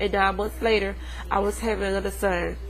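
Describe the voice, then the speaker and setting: At a fairly quick pace, a woman speaks with audible room echo. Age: 20s. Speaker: student giving a class speech. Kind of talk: persuasive speech. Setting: webcam recording.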